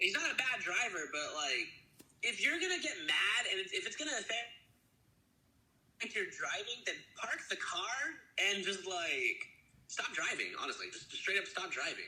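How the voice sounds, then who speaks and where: Audible room echo surrounds a man talking at a moderate pace with long, frequent pauses. His extremely high pitch swings very widely. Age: 20s. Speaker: small studio founder. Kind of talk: casual interview. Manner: halting.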